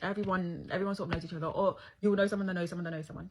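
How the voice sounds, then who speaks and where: A woman's somewhat breathy voice at medium pitch, at a very fast pace. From Scotland, Nigerian family, partly raised in London. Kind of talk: casual Q&A video.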